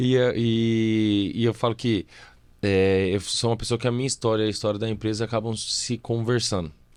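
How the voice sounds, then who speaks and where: Over a silent background in a very clean recording, a man speaks at a medium pitch in a monotone, flat delivery with very even loudness. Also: moderate pace. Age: 30s. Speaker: civil engineer and company director. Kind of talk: podcast interview. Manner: talkative.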